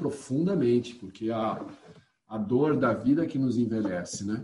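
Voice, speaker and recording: A man with a dark, mellow tone and a somewhat breathy sound speaks at a moderate pace with ordinary pitch variation. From São Paulo state interior, Piracicaba. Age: 50s. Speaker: poet and eco-activist. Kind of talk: casual interview.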